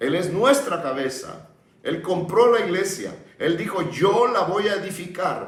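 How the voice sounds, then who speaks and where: Amid noticeable background noise and audible room echo, a high-pitched man speaks at a fairly slow pace with lively intonation. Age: 70s. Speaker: pastor. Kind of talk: sermon. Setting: broadcast sermon.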